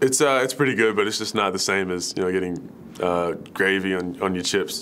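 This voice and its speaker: A man's very deep, low voice in an American accent, moderately paced with ordinary pitch variation, over light background noise. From Melbourne, Australia. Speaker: professional basketball player. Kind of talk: interview answer. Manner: casual, relaxed. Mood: relaxed, friendly. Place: home room.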